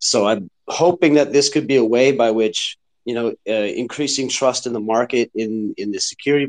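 The pace is moderate and the pitch varies in an ordinary way. The sound is dry and close, with no echo. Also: man. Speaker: listener asking questions. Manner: emphatic, argumentative.

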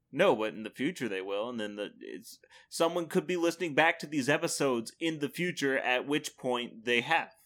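A man with a fairly high pitch and an unremarkable speaking voice talks at a moderate pace with hardly any pauses. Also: lively intonation, very clean recording, silent background. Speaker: podcast co-host. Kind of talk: casual banter podcast. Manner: joking, playful, chatty.

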